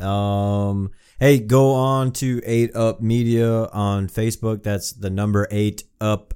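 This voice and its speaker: In a dark, mellow tone, a man speaks very slowly with a fairly low pitch and fairly even intonation. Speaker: podcast host. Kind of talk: casual chat. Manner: profane, laid-back.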